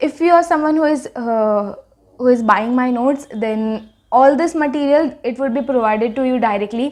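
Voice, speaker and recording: Her voice is high in pitch, and the woman's pitch varies in an ordinary way. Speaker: pharmacy student and YouTuber. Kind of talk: casual tutorial vlog. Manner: fast.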